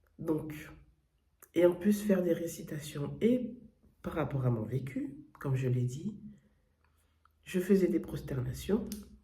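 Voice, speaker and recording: Long pauses come often as the speaker proceeds very slowly. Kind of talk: testimony. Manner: hesitant, many fillers and self-corrections.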